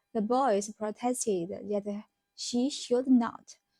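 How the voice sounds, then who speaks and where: A woman with a Chinese accent talks at a very slow pace and fairly high pitch with ordinary pitch variation. Music plays in the background. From China. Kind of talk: novel reading aloud.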